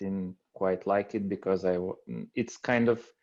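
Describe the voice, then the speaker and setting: With a European accent, a man speaks in a very deep, low voice and a flat monotone. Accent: foreign European. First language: non-English European language. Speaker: aspiring appliance repair technician. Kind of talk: group video call discussion. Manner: halting, many fillers.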